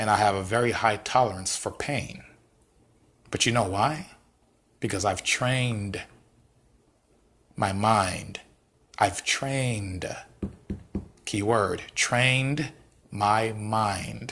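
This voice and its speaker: This man speaks with an American accent at a very slow pace, leaving long, frequent pauses. His fairly low pitch, bright, sharp tone and fairly even intonation hold throughout. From US West Coast, South Central Los Angeles. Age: 30s. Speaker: motivational talk host. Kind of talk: motivational monologue. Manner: repetitive, emphatic.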